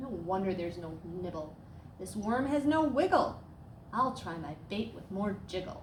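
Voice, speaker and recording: In a put-on character voice, a woman mumbles in a rumbling way at a medium pitch and moderate pace, with clear background noise behind her. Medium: read story. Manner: grumbling, mumbling.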